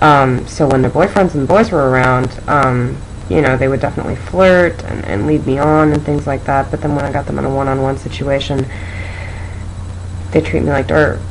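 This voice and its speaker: Amid noticeable background noise and audible room echo, a woman with an American accent and a very deep, low pitch talks at a fairly quick pace with lively intonation. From Seattle, Washington. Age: 20s. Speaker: video testimonial speaker. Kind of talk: testimony.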